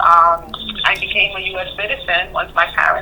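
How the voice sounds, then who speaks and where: A woman with a slight Spanish accent at a moderate pace, with noticeable background noise. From Honduras. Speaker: therapist. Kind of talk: therapy session. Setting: phone call.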